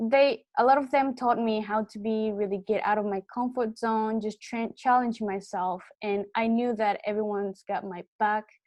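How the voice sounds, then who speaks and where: In a Japanese accent, a woman speaks at a fairly slow pace with hardly any pauses, fairly high pitch and fairly even intonation, in a dry, close sound with no echo and a quiet background. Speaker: student. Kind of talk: testimony.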